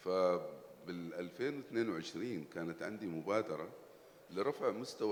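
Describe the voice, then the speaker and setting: There is noticeable background noise as a man with an Arabic accent speaks at a fairly low pitch. His pace is fairly slow, with ordinary pitch variation. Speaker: entrepreneur. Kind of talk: panel discussion.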